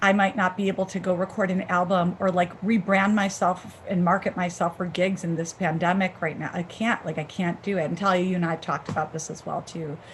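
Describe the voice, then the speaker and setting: Fairly fast with hardly any pauses, a woman in an American accent speaks at medium pitch with monotone, flat intonation. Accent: Chicago accent, comes out sometimes. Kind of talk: casual chat. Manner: halting, many fillers.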